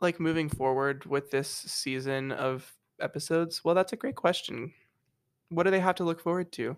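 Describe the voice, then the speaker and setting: A man's high pitch with ordinary variation, at a moderate pace. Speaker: podcast co-host, college student. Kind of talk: casual chat.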